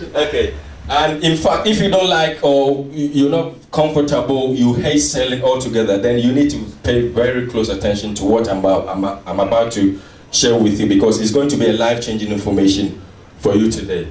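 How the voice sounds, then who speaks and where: A man with a Ghanaian accent at a medium pitch and a fairly quick pace, amid audible room echo and noticeable background noise. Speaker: seminar speaker. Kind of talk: motivational sales seminar talk. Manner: animated.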